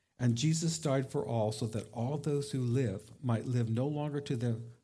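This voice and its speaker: With a dark, mellow tone, a man talks at a fairly slow pace, somewhat breathy and with ordinary pitch variation. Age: 60s. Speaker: pastor. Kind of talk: sermon. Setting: church.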